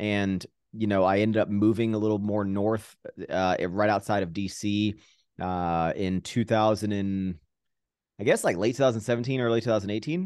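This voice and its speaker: A plain, everyday voice with an American accent speaks at a moderate pace and with fairly even intonation over a quiet background. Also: man, fairly low pitch for a man. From Virginia, US. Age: 30s. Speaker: fitness YouTuber and entrepreneur. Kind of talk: casual interview chat. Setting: remote video call.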